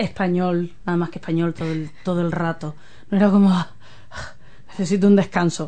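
Speaking fairly quickly but with long, frequent pauses, a woman with a Castilian accent uses a flat, monotone delivery at a fairly low pitch over noticeable background noise. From Spain. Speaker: community radio host. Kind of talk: casual interview.

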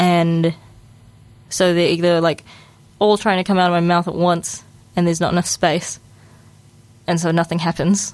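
With a New Zealand accent, a woman speaks at a moderate pace with a fairly low pitch, monotone, flat intonation, very even loudness and long, frequent pauses. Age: 20s. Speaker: radio host. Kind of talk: casual monologue. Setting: studio. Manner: casual, halting.

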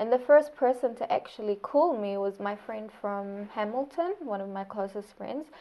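With a New Zealand accent, a woman speaks at medium pitch and a moderate pace, with ordinary pitch variation. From Saudi Arabia. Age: 20s. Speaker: speech therapist, recent graduate. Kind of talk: oral history interview.

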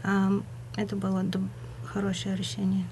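There is audible echo from the room. A woman speaks fairly slowly. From Bulgaria, Burgas. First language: Bulgarian (speaking Russian). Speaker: community radio presenter. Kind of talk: radio interview. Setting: radio studio. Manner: halting, searching for words.

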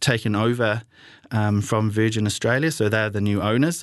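A man talks in a medium pitch, with a quiet background behind him. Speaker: community radio travel show host. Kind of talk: solo radio talk. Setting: radio studio. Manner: halting, many fillers.

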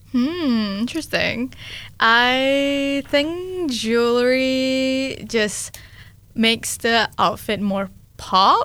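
A woman speaks very slowly in a high voice with a bright, sharp tone. Her pitch varies in an ordinary way. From Malaysia. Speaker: youth coordinator at community radio. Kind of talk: casual interview. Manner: hesitant, many fillers.

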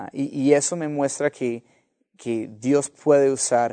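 Fairly even intonation from a man with a dark, mellow tone. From US (Los Angeles). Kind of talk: interview testimony. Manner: halting, many repetitions and fillers.

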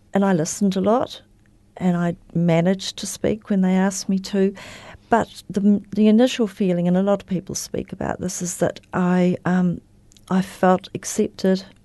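A woman with a dark, mellow tone speaks at medium pitch and moderate pace in a monotone, flat intonation over a quiet background. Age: 70s. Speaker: recovering alcoholic, AA member. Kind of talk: interview about personal recovery story. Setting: radio studio.

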